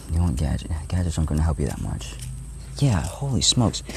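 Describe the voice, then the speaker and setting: A man speaks quietly over noticeable background noise. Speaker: vlogger. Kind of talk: casual vlog monologue. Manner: quiet, hard to hear; halting, many restarts.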